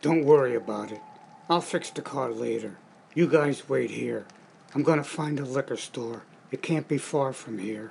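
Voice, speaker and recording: A man puts on a cartoonish character voice at a medium pitch. He keeps a moderate pace. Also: ordinary pitch variation. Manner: mumbling.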